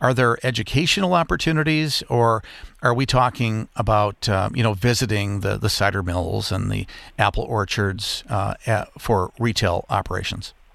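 A man with an American accent has a plain, everyday voice and fairly low pitch. His pitch varies in an ordinary way, and the recording is very clean with a silent background. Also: moderate pace. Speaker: radio travel show host. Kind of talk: radio interview show.

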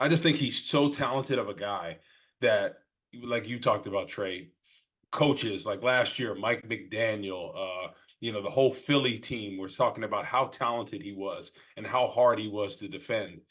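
A man with a plain, everyday voice speaks in an American accent. His medium pitch varies in an ordinary way at a moderate pace. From New Jersey. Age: 30s. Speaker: former football player, podcast co-host. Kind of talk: casual sports chat.

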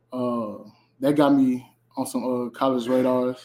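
Delivered with an American accent, the voice has a dark, mellow tone, a fairly slow pace, and fairly even intonation. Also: man. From St. Louis, Missouri. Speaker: college football player. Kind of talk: interview.

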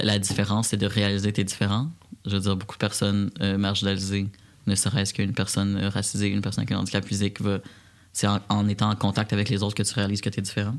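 A man talks at a very fast pace in a fairly low pitch. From Quebec, Repentigny. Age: 20s. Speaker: community organization director. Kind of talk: interview.

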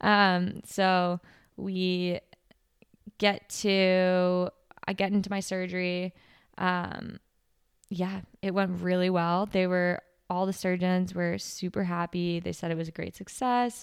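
A woman speaks at a medium pitch and a very slow pace in a monotone, flat intonation, with long, frequent pauses. The recording is very clean, with a silent background. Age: 20s. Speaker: ski racer podcast host. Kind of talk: casual monologue. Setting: hospital room. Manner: frequent laughter.

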